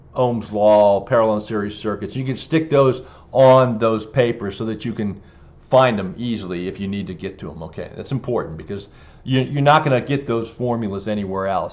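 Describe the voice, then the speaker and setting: A man with a fairly low voice talks at a fairly quick clip, his pitch moving in an ordinary way and his loudness swinging widely, with audible echo from the room. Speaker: exam prep instructor. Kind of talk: lecture. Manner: hesitant, many fillers.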